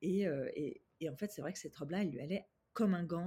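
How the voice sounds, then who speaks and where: A woman's somewhat breathy, dark and mellow voice at a fairly low pitch, with a fairly quick pace and ordinary pitch variation. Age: 30s. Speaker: image consultant and confidence coach. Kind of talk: casual interview. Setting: at home.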